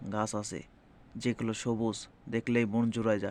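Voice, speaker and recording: Here is a man with a medium-pitched voice. His intonation is monotone and flat. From Bangladesh. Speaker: migrant worker vlogger. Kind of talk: personal vlog monologue. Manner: halting.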